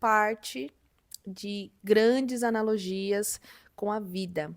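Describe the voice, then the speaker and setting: A woman's fairly high pitch with ordinary pitch variation, in a very clean recording over a silent background. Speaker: book youtuber. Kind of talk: casual vlog chat.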